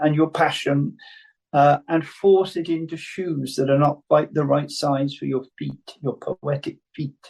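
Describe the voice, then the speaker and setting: Very slowly, a man speaks with a Welsh accent. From Wales. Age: 70s. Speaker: playwright and poet. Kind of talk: talk with Q&A on writing. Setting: video call.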